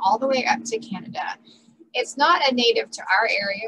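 Noticeable background noise surrounds a woman with a high pitch, who speaks at a moderate pace with lively intonation. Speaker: volunteer garden educator. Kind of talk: presentation talk. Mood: friendly, informative. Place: home room. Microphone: headset.

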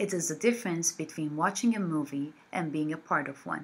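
Very wide pitch swings in a woman's somewhat breathy voice. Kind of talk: promotional invitation to camera. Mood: warm and friendly.

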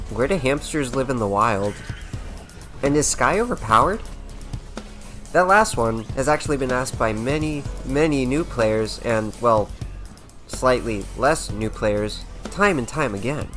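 There is music in the background as a man talks at a fairly slow pace. His intonation is lively. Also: medium pitch for a man. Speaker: gaming video creator. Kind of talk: gaming rant commentary.

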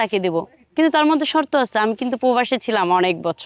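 High-pitched and lively in intonation, a woman's voice comes across dry and close, with no echo. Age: 20s. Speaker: businesswoman seeking a husband. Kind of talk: street interview.

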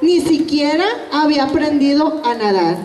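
A woman's slow-paced speech with lively intonation and audible room echo. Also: slightly mellow tone.

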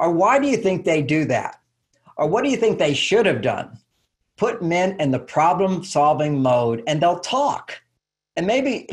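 With very wide pitch swings, a man speaks at a moderate pace over a quiet background. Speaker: guest. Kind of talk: interview answer. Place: home room. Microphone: video call.

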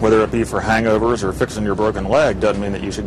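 A man's fairly low voice with ordinary pitch variation, dry with no echo, against noticeable background noise. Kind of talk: interview answer. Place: bus.

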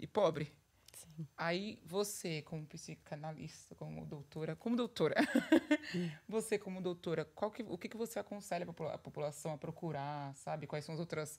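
A woman with a fairly low pitch speaks at a moderate pace and with ordinary pitch variation. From Brazil. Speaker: podcast co-host. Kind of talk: casual chat. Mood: earnest, personal. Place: studio. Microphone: studio mic.

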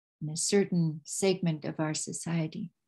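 Over a quiet background, a woman speaks with a fairly low pitch, a dark, mellow tone, a somewhat breathy quality and fairly even intonation. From Yukon, Canada (First Nation). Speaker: traditional storyteller and cultural ambassador. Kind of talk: storytelling talk to an online audience. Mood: warm, earnest. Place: home room. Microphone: webcam.

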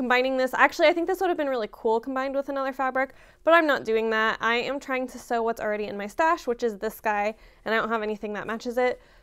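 A woman's high voice at a very fast pace, with ordinary pitch variation and a quiet background. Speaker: sewing vlogger. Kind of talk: casual vlog chat. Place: home room.

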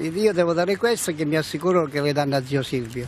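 Fairly high male voice with ordinary pitch variation, dry and echo-free, over noticeable background noise. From Calabria, Italy (Cosenza); Calabria, Italy. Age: 60s. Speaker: political supporter; interviewee. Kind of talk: street interview. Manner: halting. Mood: earnest, devout. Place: street. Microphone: handheld.

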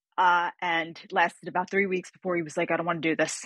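A woman with a fairly low voice talks at a very fast pace. The sound is dry with no echo, against a quiet background. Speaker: guest. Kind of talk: interview answer. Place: home room.

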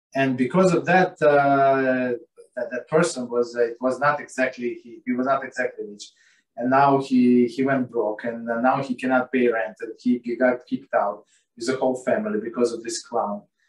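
A man speaks at a moderate pace with ordinary pitch variation and big swings in loudness. Audible room echo surrounds his voice. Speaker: religious text teacher. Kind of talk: lecture. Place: home room. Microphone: video call.

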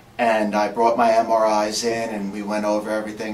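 A man's monotone, flat delivery comes through amid clear background noise. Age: 40s. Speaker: spine surgery patient. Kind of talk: patient testimonial. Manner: hesitant, halting.

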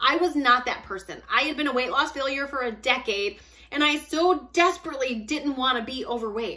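A woman speaks in a raised, projected high voice at a fairly quick pace with ordinary pitch variation. The background is quiet. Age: 40s. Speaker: fitness and weight loss vlogger; weight loss vlogger. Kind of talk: casual monologue to camera. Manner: animated. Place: home room. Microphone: phone near.

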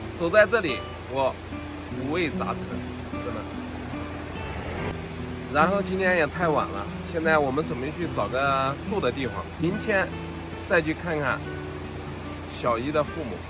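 Clear music plays behind a man speaking at a moderate pace. He leaves long, frequent pauses, and the sound is dry with no echo. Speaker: travel vlogger. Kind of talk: casual vlog chat. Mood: reflective, mixed feelings. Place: street.

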